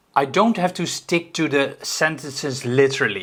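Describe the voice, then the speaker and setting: A man's fairly high voice with a non-native accent and ordinary pitch variation. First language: not English. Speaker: YouTube coach. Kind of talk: tutorial with raw repeated takes. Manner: halting, repeating takes.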